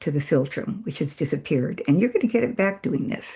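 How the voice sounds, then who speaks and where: A woman's somewhat breathy voice, medium in pitch, with a dark, mellow tone and very wide pitch swings. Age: 80s+. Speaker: facial exercise instructor. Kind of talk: tutorial. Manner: casual, with hesitations.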